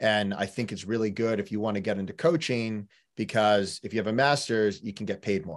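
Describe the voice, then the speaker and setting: With an American accent and a normal speaking voice, a man speaks at a fairly quick pace in a fairly low pitch with ordinary pitch variation, on a very clean recording with a silent background. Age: 30s. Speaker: rowing coach. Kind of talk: casual chat.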